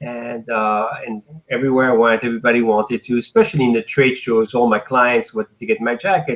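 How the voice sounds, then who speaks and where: A man with a French accent speaks at a fairly quick pace, with a medium pitch and fairly even intonation. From France. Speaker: fashion designer. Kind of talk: interview.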